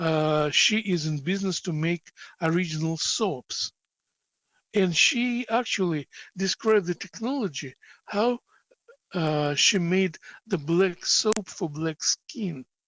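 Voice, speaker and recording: Very slow delivery with long, frequent pauses and ordinary pitch variation. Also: man, high pitch for a man. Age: 70s. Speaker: teacher. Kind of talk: lecture.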